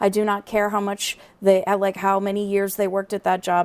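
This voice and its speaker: The pace of this woman's speech is fairly quick. Her intonation stays monotone and flat. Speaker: comedy podcast co-host. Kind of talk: casual comedic chat. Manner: fast-talking.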